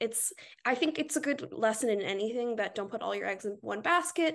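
With an American accent, a woman uses a plain, everyday voice at a moderate pace, fairly high in pitch and lively in intonation. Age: 20s. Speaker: book influencer. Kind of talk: casual chat.

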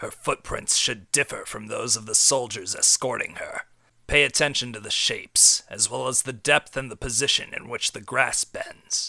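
A man puts on a character voice, speaking at a moderate pace with a medium pitch. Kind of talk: comic parody dub. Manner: dramatic, over-the-top.

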